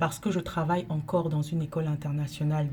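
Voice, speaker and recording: Her voice is very deep and low, with a dark, mellow tone, somewhat breathy and flat in a monotone delivery. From Cameroon. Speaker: teacher and NGO director. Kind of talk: direct-to-camera monologue. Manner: measured, with hesitations.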